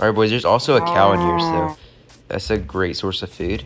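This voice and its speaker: There is noticeable background noise. The talk moves at a fairly quick pace with lively intonation. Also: man. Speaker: gaming youtuber. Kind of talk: gameplay commentary. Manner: animated.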